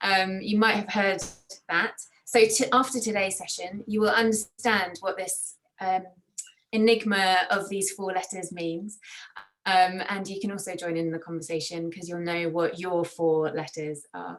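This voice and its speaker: Talking at a fairly slow pace, a woman with a medium-pitched voice keeps her intonation fairly even while her loudness swings widely. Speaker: workshop facilitator. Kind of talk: online training session. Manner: hesitant fillers.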